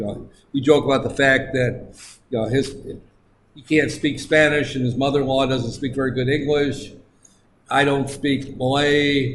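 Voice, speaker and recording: With an American accent, a man speaks in a monotone, flat intonation at a fairly high pitch, somewhat breathy and with big swings in loudness, amid audible room echo. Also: moderate pace. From United States. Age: 60s. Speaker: lecturer. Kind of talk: lecture. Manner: halting.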